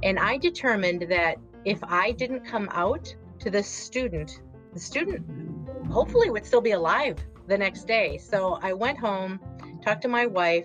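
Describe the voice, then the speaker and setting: Backed by music in the background, a woman speaks at a moderate pace with a Wisconsin accent. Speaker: podcast guest, author.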